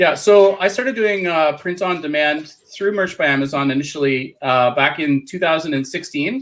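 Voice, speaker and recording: An unremarkable speaking voice from a man with a Canadian accent, fairly high in pitch, with ordinary pitch variation, a moderate pace and hardly any pauses. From Canada. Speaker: print on demand seller and business coach. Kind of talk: interview.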